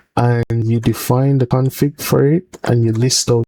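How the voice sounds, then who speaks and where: At a fairly slow pace, the voice has a dark, mellow tone, somewhat breathy, with ordinary pitch variation and a dry, close sound with no echo. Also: man. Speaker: software developer. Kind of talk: tutorial. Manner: halting.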